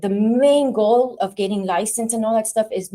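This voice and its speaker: In a dark, mellow tone, a woman talks with ordinary pitch variation. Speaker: lash extension instructor. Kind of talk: lecture. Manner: fast.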